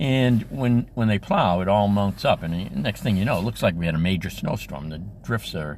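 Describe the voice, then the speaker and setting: A man with a fairly low pitch and vocal fry, lively intonation, and a moderate pace. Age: 70s. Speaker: school crossing guard. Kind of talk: casual talk to camera.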